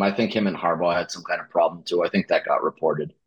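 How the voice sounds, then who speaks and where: A man with an American accent, very fast pace and lively intonation. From Connecticut. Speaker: podcast co-host. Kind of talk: casual chat.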